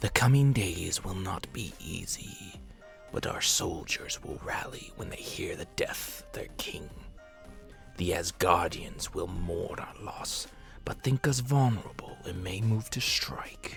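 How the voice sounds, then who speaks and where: A man does a put-on character voice at a medium pitch. He speaks fairly slowly over clear background music. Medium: read story. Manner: grave, commanding.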